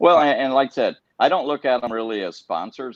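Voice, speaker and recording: In an American accent, a man talks fairly quickly in an ordinary speaking voice with ordinary pitch variation. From Iowa. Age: 60s. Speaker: professional tournament angler. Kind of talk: podcast interview.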